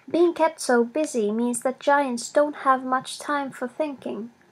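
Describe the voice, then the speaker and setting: Speaking with a non-native accent at a fairly slow pace, a woman has a high pitch with ordinary variation, captured in a very clean recording with a silent background. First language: not English. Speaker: storyteller. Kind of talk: reading aloud.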